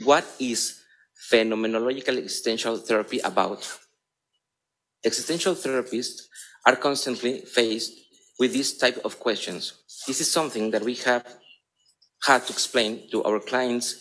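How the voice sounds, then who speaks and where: A man with a Spanish accent talks at a moderate pace and medium pitch. He uses ordinary pitch variation and takes long, frequent pauses. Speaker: psychotherapist. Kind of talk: conference talk. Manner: halting.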